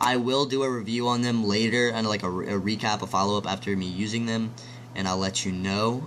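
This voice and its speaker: This man speaks at a medium pitch and a fairly quick pace. His intonation stays fairly even. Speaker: tech reviewer. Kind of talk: product review. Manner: casual, hesitant with many ums; loud.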